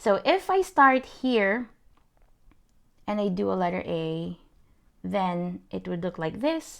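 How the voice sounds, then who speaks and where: On a very clean recording with a silent background, the speech is very slow, with long, frequent pauses. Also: woman. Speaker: calligraphy instructor. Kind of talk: tutorial. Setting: livestream on social media. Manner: halting, many fillers.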